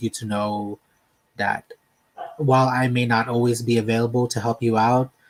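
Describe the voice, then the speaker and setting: Soft-spoken, the voice stays monotone and flat. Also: man. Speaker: livestream host. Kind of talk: casual chat. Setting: home livestream.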